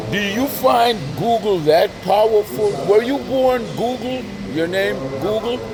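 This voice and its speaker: A man's high-pitched voice with lively intonation at a fairly slow pace, over noticeable background noise. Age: 60s. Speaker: street interviewer and video blogger. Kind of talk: casual street interview.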